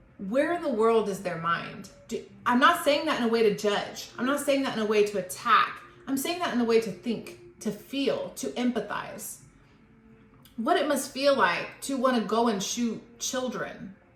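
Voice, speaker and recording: The woman's voice sits at a fairly high pitch. Noticeable background noise and audible room echo come through. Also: lively intonation. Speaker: tarot reader. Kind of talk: tarot reading monologue. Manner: slow; reflective.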